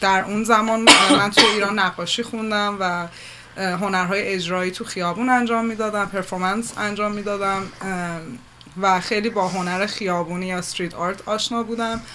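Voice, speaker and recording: Over noticeable background noise, the delivery comes at a moderate pace in a monotone, flat intonation. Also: woman, medium pitch for a woman. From Iran. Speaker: multimedia artist and curator. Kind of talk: radio interview. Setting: studio.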